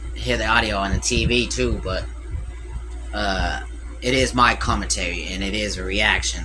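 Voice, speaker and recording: A man's fairly evenly intoned voice, with audible room echo and noticeable background noise. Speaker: reaction streamer. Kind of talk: live stream reaction commentary. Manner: loud; casual, hesitant with fillers.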